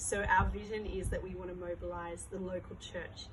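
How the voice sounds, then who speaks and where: Noticeable background noise and audible room echo around a woman's moderate pace. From Australia. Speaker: charity worker, former teacher. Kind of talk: interview. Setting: charity site in South Africa.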